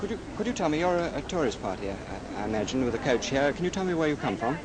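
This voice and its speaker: A man at a fairly high pitch, very wide pitch swings and a very fast pace, over noticeable background noise. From Britain. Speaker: television commentator. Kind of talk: outside broadcast commentary.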